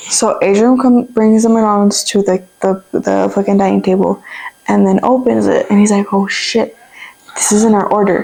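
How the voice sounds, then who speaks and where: A woman speaks at a moderate pace with very even loudness. Noticeable background noise is present. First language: Spanish. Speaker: YouTuber. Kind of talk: casual chat.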